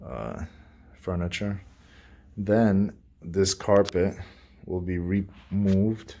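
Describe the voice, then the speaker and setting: The speaker is a man. He has a dark, mellow tone. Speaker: renovation contractor giving a site tour. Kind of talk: casual walkthrough video. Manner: quiet, keeping voice down.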